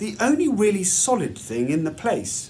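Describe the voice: A man speaks at a fairly slow pace, his pitch swinging very widely.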